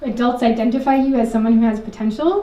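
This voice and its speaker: With an American accent, a woman talks at a moderate pace and a fairly high pitch, ordinary pitch variation, and noticeable background noise. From Richmond Hill, Queens, New York City. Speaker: socially engaged artist, educator. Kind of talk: live storytelling performance. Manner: casual, conversational.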